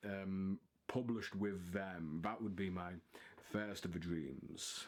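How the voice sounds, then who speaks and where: A man with a Liverpool accent speaks in a fairly low voice. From northern England, Liverpool. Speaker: writer and video blogger. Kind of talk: casual monologue to camera. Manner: halting, many fillers.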